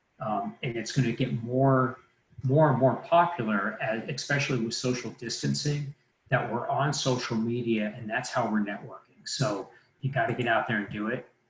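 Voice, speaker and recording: With an unremarkable speaking voice, a man talks at a moderate pace in a medium pitch with fairly even intonation. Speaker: mortgage lender presenting a training. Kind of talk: live online training presentation. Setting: livestream webinar.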